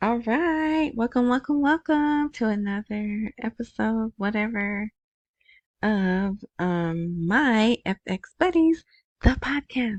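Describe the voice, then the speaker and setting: A woman speaks at a very slow pace, somewhat breathy, with a fairly high pitch and lively intonation. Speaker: podcast host. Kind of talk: casual news commentary. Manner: rambling, unfinished sentences.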